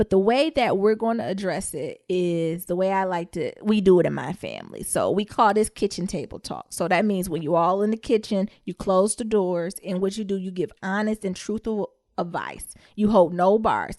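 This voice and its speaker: A woman with an American accent speaks in an ordinary speaking voice at a medium pitch and moderate pace, with ordinary pitch variation and hardly any pauses, in a dry, close sound with no echo and a quiet background. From US Midwest. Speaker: podcast co-host. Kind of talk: casual chat.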